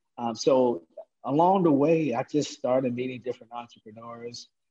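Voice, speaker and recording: Dark and mellow in tone, a man speaks with ordinary pitch variation. His pace is moderate. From Baltimore, East Baltimore. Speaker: podcast host, entrepreneurship trainer. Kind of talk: casual interview.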